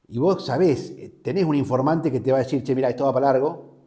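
With ordinary pitch variation, a man speaks in a dark, mellow, somewhat breathy tone. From Argentina, Río Negro (Patagonia); Río Negro, Argentina. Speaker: journalist. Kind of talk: interview. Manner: hesitant, with fillers and repetitions. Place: studio. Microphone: lapel.

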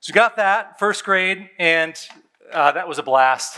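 The man's tone is bright and sharp, and his pace is moderate. Behind him the background is quiet. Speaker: pastor. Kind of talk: sermon. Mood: warm, nostalgic, playful. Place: church. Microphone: headset.

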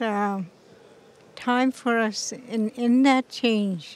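A woman's voice comes through dry, with no echo. Her intonation is fairly even. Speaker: interviewee. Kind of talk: interview answer. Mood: thoughtful, calm. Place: hall. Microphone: handheld.

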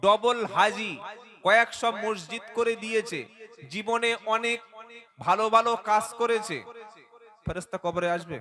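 A man speaks in a high, raised, projected voice with an animated tone and ordinary pitch variation. Noticeable background noise runs beneath him. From West Bengal, South 24 Parganas (Baruipur). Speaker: Islamic preacher. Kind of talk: religious sermon at a public gathering. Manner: animated, engaging the crowd.

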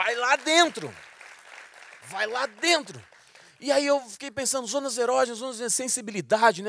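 Nothing stirs in the quiet background, and the sound is dry with no echo. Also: man. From Mato Grosso, Brazil. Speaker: stand-up comedian. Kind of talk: stand-up comedy routine. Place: stage. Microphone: handheld.

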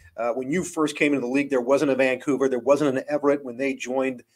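Talking at a fast pace, a man keeps a medium pitch and fairly even intonation.

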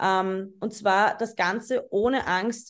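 A woman speaks at a medium pitch. It is an unremarkable speaking voice. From Austria, Vienna. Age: 20s. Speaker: photographer. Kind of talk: lecture. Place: home room. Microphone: webcam.

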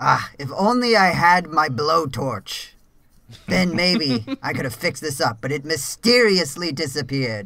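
In a put-on character voice, a man speaks with a fairly high pitch. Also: moderate pace.

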